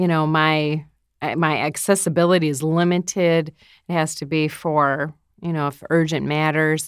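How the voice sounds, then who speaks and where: Against a silent background in a very clean recording, a woman speaks at a moderate pace with a very deep, low pitch and monotone, flat intonation. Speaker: radio host. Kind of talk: casual panel discussion.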